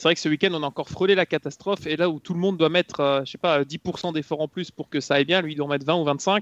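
In a dry, close sound with no echo, a man with an ordinary speaking voice talks at a fairly high pitch with fairly even intonation. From Belgium. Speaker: motorsport commentator. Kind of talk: casual chat.

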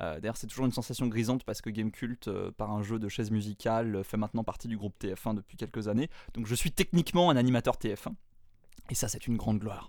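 The speech comes at a very fast pace with ordinary pitch variation. The recording is very clean with a silent background. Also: man, medium pitch for a man. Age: 20s. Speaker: podcaster. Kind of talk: interview.

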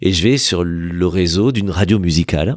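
Very deep and low in pitch, a man's voice shows ordinary pitch variation on a very clean recording with a silent background. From southern France, Aveyron (Villefranche-de-Rouergue). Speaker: radio journalist and TV presenter, charity president. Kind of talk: casual interview chat. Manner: hesitant, repeats words.

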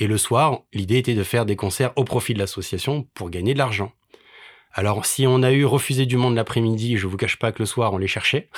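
A man speaks at a fairly quick pace in an ordinary speaking voice of medium pitch on a very clean recording with a silent background. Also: ordinary pitch variation. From Paris. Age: 40s. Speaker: charity association president and musician. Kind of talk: casual interview chat.

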